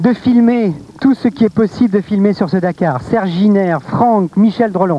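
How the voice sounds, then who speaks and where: Recorded dry and close with no echo, a man with a high pitch and ordinary pitch variation talks over noticeable background noise. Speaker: TV presenter. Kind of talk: live TV presentation. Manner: fast.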